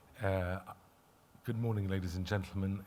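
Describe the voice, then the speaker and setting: A man with a very deep, low voice speaks at a moderate pace in fairly even intonation, with audible room echo. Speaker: lawyer and conference speaker. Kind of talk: conference presentation. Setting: conference stage with audience. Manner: hesitant, many filler words.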